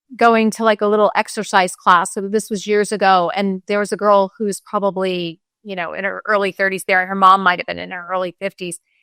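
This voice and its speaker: Speaking at a fairly quick pace, a woman delivers her words in a monotone, flat intonation with a bright, sharp tone and medium pitch. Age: 60s. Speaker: pharmacist. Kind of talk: casual chat.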